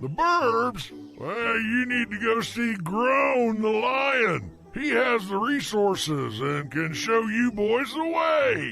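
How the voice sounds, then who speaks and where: A man performs a cartoonish character voice at an extremely high pitch. He goes at a very slow pace, with clear music in the background. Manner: folksy, wise.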